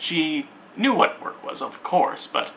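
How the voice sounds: This is a natural reading voice. Its intonation is lively.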